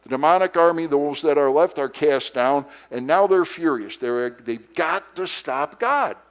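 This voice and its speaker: A man with a normal speaking voice talks at a fairly slow pace, fairly high in pitch with ordinary pitch variation. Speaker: pastor. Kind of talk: Sunday school lesson.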